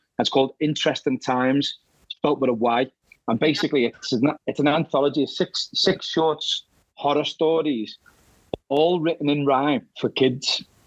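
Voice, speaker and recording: Dry and close with no echo, the clip has a man speaking with a Liverpool accent at a moderate pace. His pitch is fairly high, with ordinary variation and very even loudness. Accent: Scouse. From Liverpool, England. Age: 50s. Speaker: horror author. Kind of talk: interview. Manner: halting, many repeated words.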